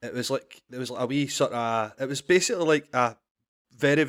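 In a dry, close sound with no echo, a man with a Scottish accent speaks at a fairly high pitch with fairly even intonation. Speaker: comedian and podcast guest. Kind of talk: casual, Scottish dialect words, swears freely.

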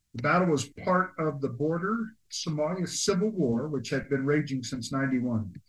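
Somewhat breathy, a man with a fairly high pitch talks at a moderate pace with lively intonation. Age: 60s. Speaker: military veteran, podcast co-host. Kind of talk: casual chat with history segment reading.

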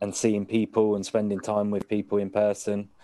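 A dark, mellow voice with a British accent moves at a fairly slow pace. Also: man. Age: 40s. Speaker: podcast co-host. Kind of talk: casual interview chat. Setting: video call.

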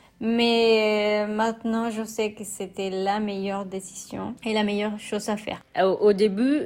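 Speaking at a very slow pace, a woman uses a fairly high pitch with a Spanish accent. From Mexico. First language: Spanish (speaking French). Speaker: immigrant sharing her experience. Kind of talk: personal testimony. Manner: hesitant, many fillers; casual, relaxed.

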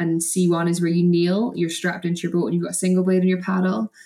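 With a Scottish accent, a woman speaks at a fairly quick pace, her fairly low pitch held in fairly even intonation. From Scotland, between Perth and Edinburgh. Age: 20s. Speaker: canoe slalom athlete. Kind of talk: casual chat.

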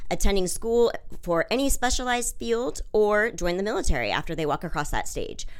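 With an American accent, a woman talks at a moderate pace in a normal speaking voice with lively intonation. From US Pacific Northwest (Washington State). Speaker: school district special education supervisor. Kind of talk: interview.

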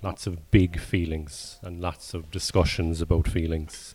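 With a Cork accent, a man speaks at a very deep, low pitch. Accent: Cork Irish. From Ireland. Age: 40s. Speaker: stand-up comedian. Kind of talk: casual chat. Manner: laconic.

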